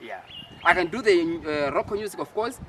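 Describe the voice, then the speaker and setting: Over noticeable background noise, the speech moves at a moderate pace with very wide pitch swings. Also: man. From Malawi, rural village. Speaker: musician and producer. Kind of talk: interview.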